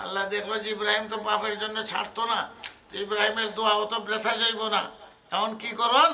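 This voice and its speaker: Over noticeable background noise, a man uses a raised, projected voice. His high pitch stays in a monotone, flat intonation. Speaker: Islamic scholar giving a sermon. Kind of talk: waz, religious sermon.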